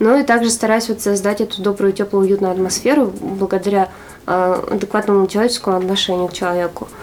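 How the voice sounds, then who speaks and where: A woman rattles off her words very quickly, her medium-pitched voice holding a fairly even intonation. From Arkhangelsk, northern Russia. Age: 20s. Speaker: entrepreneur, clothing shop owner. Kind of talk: interview.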